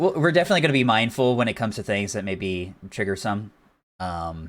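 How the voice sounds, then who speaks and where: A man with an ordinary speaking voice talks fairly quickly at a fairly low pitch with lively intonation, on a very clean recording with a silent background. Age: 20s. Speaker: podcast co-host. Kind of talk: casual chat.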